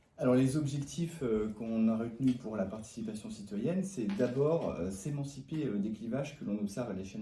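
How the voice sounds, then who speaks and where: A man speaks over noticeable background noise. There is audible echo in the room. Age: 30s. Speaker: municipal election candidate. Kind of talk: interview. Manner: hesitant, many fillers.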